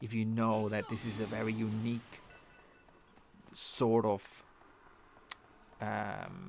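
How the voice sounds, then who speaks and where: Music plays in the background as a man speaks. His pitch is medium, and he talks with a non-native accent. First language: not English. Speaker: gaming streamer. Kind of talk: live game stream commentary. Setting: live stream. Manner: halting, many restarts and fillers.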